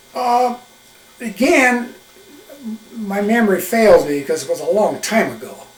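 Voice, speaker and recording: A man with a high voice speaks at a fairly slow pace, pausing long and often, with audible room echo and noticeable background noise. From eastern Wyoming. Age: 80s+. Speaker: retired smokejumper. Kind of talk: oral history interview. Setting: videotaped interview. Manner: halting, with many fillers.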